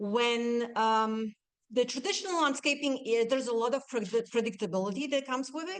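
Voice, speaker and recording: Using lively intonation, a woman with an unremarkable speaking voice speaks at a fairly high pitch. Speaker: nursery owner and garden designer. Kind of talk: presentation. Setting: talk to a live audience.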